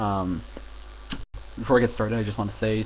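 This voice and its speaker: Pitch moves with ordinary variation here. The accent is American. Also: man. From United States. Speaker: film reviewer. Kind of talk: casual video review. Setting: home recording with headphones. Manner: halting, many fillers.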